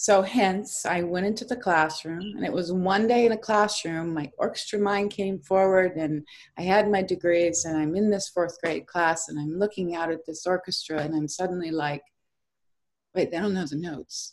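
A woman's normal speaking voice, medium in pitch with ordinary pitch variation, at a moderate pace. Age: 50s. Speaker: education consultant. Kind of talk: interview.

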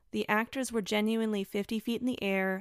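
An ordinary speaking voice with an American accent moves at a moderate pace with fairly even intonation, in a dry, close sound with no echo on a very clean recording with a silent background. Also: woman. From Florida. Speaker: podcast host. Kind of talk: solo review podcast.

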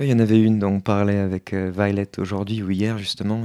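On a very clean recording with a silent background, a man speaks at a fairly low pitch in a dark, mellow tone. His delivery is monotone and flat, at a fairly quick pace. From France. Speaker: human design practitioner. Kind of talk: interview.

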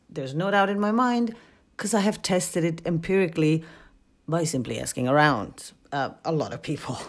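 A woman with a Polish accent, fairly low pitch, lively intonation and a fairly quick pace, on a very clean recording with a silent background. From Poland. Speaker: podcaster and university student. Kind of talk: scripted solo podcast narration.

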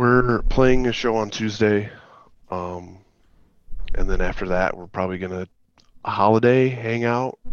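Music plays in the background as a man with a medium pitch and ordinary pitch variation speaks at a fairly slow pace, with long, frequent pauses and big swings in loudness. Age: 30s. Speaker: band member. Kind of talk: casual chat.

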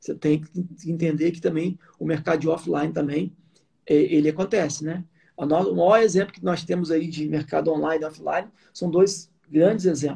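Fairly high in pitch, a man speaks with a dark, mellow tone and fairly even intonation. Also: moderate pace. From Rio de Janeiro state, Brazil (Sumidouro / Nova Friburgo). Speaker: business owner, home care company. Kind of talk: interview on a live stream.

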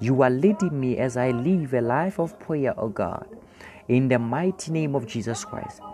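At a fairly slow pace, a man of medium pitch speaks with lively intonation over noticeable background noise. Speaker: pastor leading online prayer. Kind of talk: sermon and prayer. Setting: broadcast to remote listeners. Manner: fervent.

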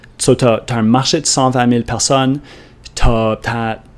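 In an Acadian accent, a man talks at a very slow pace with a medium pitch and fairly even intonation. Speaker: podcast host, online entrepreneur. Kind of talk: solo monologue podcast.

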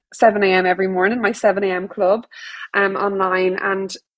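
Speaking with an Irish accent, a woman keeps a medium pitch and fairly even intonation. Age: 30s. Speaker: yoga teacher. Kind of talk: casual chat.

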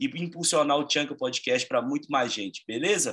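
A man with a Brazilian accent talks at a very fast pace in a bright, sharp tone. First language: Portuguese. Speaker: podcast host. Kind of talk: interview; podcast intro.

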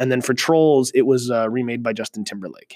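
A man with a Canadian accent talks at a very fast pace. His pitch is medium. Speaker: music teacher. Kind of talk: solo podcast monologue. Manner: hesitant fillers.

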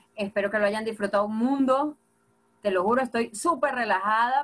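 Animated in tone, a woman speaks in a Venezuelan Llanos accent with medium pitch and ordinary pitch variation. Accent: Venezuelan llanero. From Venezuela, Apure (llanos). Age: 30s. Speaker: comedian and social media creator. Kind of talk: casual interview.

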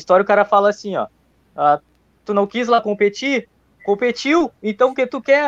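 A man's high voice at a moderate pace, dry and close with no echo over a quiet background. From Rio Grande do Sul, Brazil. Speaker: viewer asking questions. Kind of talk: casual chat.

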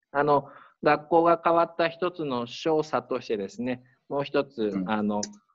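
Delivered at a fairly slow pace, a plain, everyday voice carries lively intonation. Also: man, fairly high pitch for a man. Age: 40s. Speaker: high school principal. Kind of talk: interview.

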